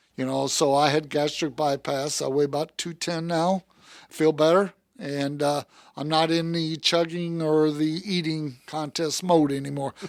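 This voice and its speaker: Fairly slow, monotone speech with flat intonation on a very clean recording over a silent background. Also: man, fairly high pitch for a man. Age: 60s. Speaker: car salesman. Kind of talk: casual interview chat. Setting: studio.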